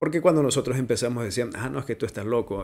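Very rapid speech from a man over a quiet background. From Ecuador, Manabí coast. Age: 30s. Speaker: voice-over artist and digital media producer. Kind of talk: interview. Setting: home studio. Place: studio. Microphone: studio mic.

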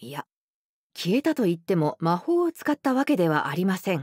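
A woman's voice swings very widely in pitch, with a dry sound with no echo and a quiet background. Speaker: professional voice actor narrator. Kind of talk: audiobook narration of a classic detective story for young readers.

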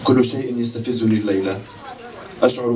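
A man talks at a moderate pace in monotone, flat intonation, with light background noise underneath. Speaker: poet or reader. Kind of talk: literary reading. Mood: calm, reflective delivery. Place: stage.

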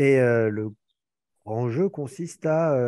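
Against a quiet background, a man's voice comes through with a dark, mellow tone. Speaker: advocacy movement member. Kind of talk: casual chat. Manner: halting.

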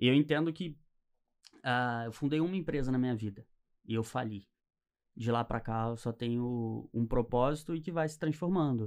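The speaker keeps a moderate pace and ordinary pitch variation, with long, frequent pauses. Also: man. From Niterói, Rio de Janeiro, Brazil; Rio de Janeiro, Brazil. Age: 20s. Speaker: entrepreneur; podcast guest. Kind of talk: interview. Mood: relaxed, reflective. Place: studio. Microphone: studio mic.

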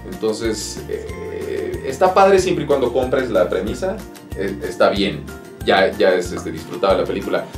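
Clear music in the background accompanies a man speaking at a fairly slow pace. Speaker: voice actor. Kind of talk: interview answer. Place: studio.

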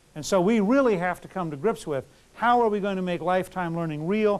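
Here a man talks at a very fast pace. His voice is high, with ordinary pitch variation. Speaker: lecturer. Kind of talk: lecture. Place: classroom.

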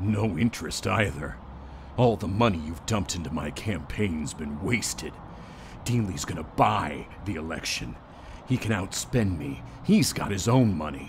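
The put-on character voice moves at a moderate pace with lively intonation over clear background noise. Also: man, very deep, low pitch for a man. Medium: dub.

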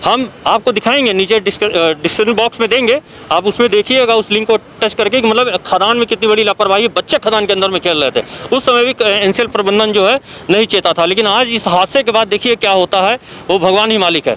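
In a high voice with ordinary pitch variation and very even loudness, a man speaks over light background noise. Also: moderate pace, dry sound with no echo. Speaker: field news reporter. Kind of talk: news field report commentary. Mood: critical, indignant. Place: open country. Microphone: handheld.

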